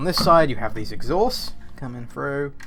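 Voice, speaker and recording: Audible room echo hangs around a man's voice. He talks at a fairly quick pace, his pitch varying in an ordinary way. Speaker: toy reviewer. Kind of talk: product review. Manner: animated.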